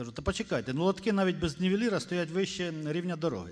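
A man's fairly high voice at a fast pace, full of big pitch swings.

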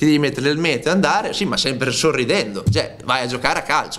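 Lively intonation from a man with a fairly high pitch. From Romagna, Italy (Cesenatico); Romagna, Italy. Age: 30s. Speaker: footballer. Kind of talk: press conference interview; press conference answer. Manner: hesitant, repeats words. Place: meeting room. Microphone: podium.

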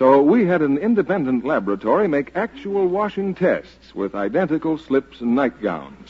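A man with a fairly high pitch speaks in an upbeat tone. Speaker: radio announcer. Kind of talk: 1940s radio commercial, polished sales pitch. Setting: radio studio broadcast. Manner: smooth, upbeat, persuasive; formal, crisp announcer delivery. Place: studio. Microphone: old recording.

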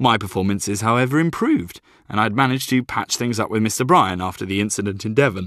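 This is a natural reading voice. It is heard here throughout.

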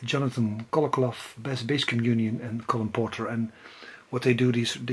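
A man speaks with a Dutch accent at a moderate pace. His intonation is monotone and flat. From Netherlands. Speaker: music collector and video blogger. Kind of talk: casual video monologue about music purchases. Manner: halting. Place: home room. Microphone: phone near.

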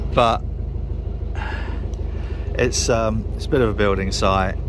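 The speech moves at a fairly slow pace. The sound is dry with no echo, and background noise is noticeable. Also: man. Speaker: narrowboat owner vlogger. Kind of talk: casual vlog chat. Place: boat.

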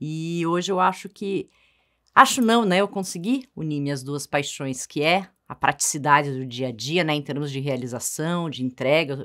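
Against a quiet background, a woman with a very deep, low pitch talks fairly slowly with lively intonation. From Brazil, Paraná and São Paulo. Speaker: co-host and strengths coach. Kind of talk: informative talk show chat. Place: studio.

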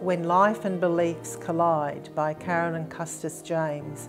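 With clear music in the background, a woman speaks fairly slowly in a fairly low pitch. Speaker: churchgoer sharing testimony. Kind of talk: interview answer. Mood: warm, earnest, reflective. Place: home room.

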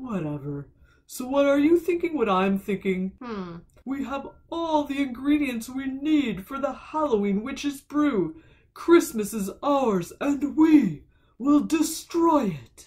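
Someone uses a put-on character voice, high in pitch and at a fairly slow pace. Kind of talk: comic villain speech. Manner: grumpy, grandiose.

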